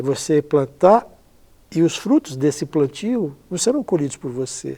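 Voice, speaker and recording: A man's dark, mellow tone, fairly high in pitch, moves at a fairly slow pace with lively intonation. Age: 60s. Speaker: blood donation charity founder, transplant athlete. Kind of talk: interview.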